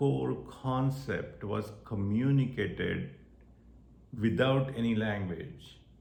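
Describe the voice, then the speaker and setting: A man with an Indian accent, speaking at a very slow pace with ordinary pitch variation, in a room with audible echo. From India (Maharashtra). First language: Marathi. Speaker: spiritual vlogger. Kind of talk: personal testimony.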